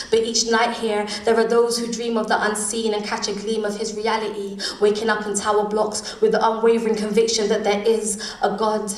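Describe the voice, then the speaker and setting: There is noticeable background noise as a woman with a fairly high pitch speaks in a flat monotone. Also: fairly quick pace. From London. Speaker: spoken word poet. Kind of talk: live spoken word poetry performance.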